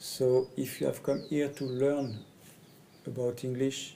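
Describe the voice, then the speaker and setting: A man with a French accent speaks at a medium pitch in a dark, mellow tone. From France. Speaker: communication trainer. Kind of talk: personal presentation video. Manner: halting, hesitant in English.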